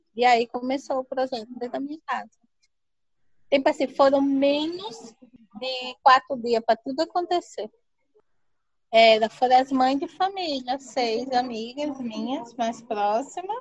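A woman speaks fairly slowly in a high voice, with ordinary pitch variation. She leaves long, frequent pauses. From Brazil, Paraíba (Serraria). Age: 30s. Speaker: community entrepreneur. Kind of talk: personal life story interview. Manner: animated.

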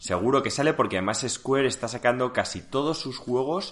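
A man is talking at a moderate pace. The background is quiet. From Seville, Spain. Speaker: podcast co-host. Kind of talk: casual chat.

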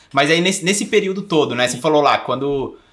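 A man's bright, sharp tone. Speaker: podcast co-host. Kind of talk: casual chat. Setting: recording in Bonito, Brazil.

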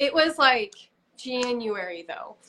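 A woman uses a raised, projected voice with a bright, sharp tone. Her pitch swings very widely at a fairly slow pace. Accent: American. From Utah. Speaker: preparedness influencer. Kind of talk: interview.

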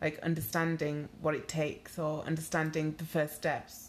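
Monotone, flat speech at a moderate pace in a Yorkshire accent. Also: woman. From Leeds, northern England. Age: 30s. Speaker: blogger. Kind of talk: casual chat. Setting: living room at home.

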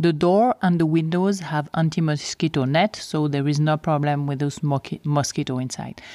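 On a very clean recording with a silent background, a woman with a Swiss French accent speaks with a very deep, low pitch, a dark, mellow tone, ordinary pitch variation and hardly any pauses, the sound dry and close with no echo. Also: moderate pace. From French-speaking Switzerland, near Geneva. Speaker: safari lodge co-owner. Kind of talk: solo podcast monologue.

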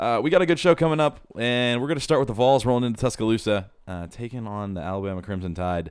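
A man with a medium pitch talks very fast, his pitch swinging very widely and his loudness rising and falling sharply, on a very clean recording with a silent background. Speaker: podcast host. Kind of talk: casual chat about sports. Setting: studio, recorded on video. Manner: stutters over the intro.

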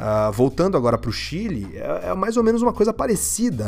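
A man with a Brazilian accent speaks at a fairly quick pace. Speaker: podcast host. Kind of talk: solo political commentary podcast. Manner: casual, informal.

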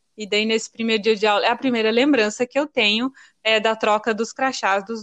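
Against a quiet background with a dry, close sound and no echo, a woman talks at a moderate pace in a fairly high pitch with fairly even intonation. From Paraná, Brazil (born in Rio Grande do Norte). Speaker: childhood friend, writer. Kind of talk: casual chat.

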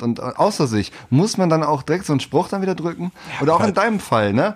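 A man's voice at a fairly quick pace, with very wide pitch swings. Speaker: podcast co-host. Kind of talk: casual chat. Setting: home recording.

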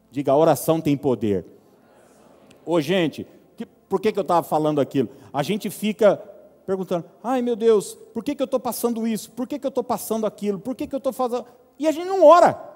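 A man speaks fairly quickly at a high pitch, with very wide pitch swings. He takes long, frequent pauses. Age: 30s. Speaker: pastor. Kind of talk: sermon.

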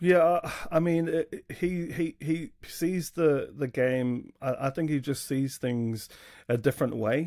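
An Australian-accented man with a dark, mellow tone, fairly high pitch, ordinary pitch variation and a fairly slow pace. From Australia, south Sydney. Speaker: rugby league fan, podcast guest. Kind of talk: casual chat.

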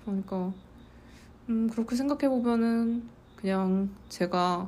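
A woman speaks with a dark, mellow tone that is somewhat breathy. Her pitch moves in an ordinary way. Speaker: podcast host. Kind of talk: solo podcast monologue.

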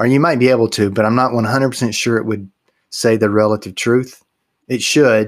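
A man of medium pitch speaks at a fairly slow pace in a very clean recording with a silent background. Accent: Texas. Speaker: podcast co-host. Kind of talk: casual chat, humorous banter. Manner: humorous, jokey.

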